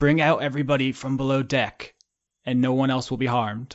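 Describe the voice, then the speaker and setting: A man's put-on, hissing character voice at a medium pitch, fairly quick in pace, with monotone, flat intonation. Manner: threatening demand.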